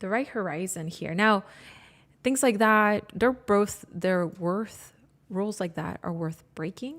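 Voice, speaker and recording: A woman with a non-native accent speaks at a fairly slow pace and a medium pitch, captured in a very clean recording with a silent background. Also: ordinary pitch variation. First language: not English. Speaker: graphic designer and photographer. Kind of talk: live tutorial. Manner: halting, self-correcting.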